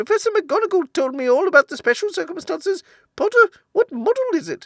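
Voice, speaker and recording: In a put-on character voice, a man talks very fast, squeaky and extremely high-pitched. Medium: read story.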